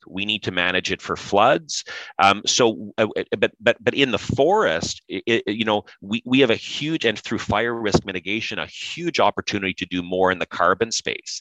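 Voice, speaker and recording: A man with an Ontario accent talks at a moderate pace with a fairly low pitch, ordinary pitch variation and a bright, sharp tone, in a dry, close sound with no echo. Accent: Canadian (Ontario). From Canada, Pembroke, Ontario. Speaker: industry association executive. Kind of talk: interview. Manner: many repetitions and restarts.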